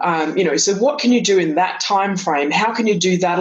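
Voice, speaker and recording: At a fairly quick pace, a woman with a slight Australian accent talks with ordinary pitch variation. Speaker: author and speaker, former corporate executive. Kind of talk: interview.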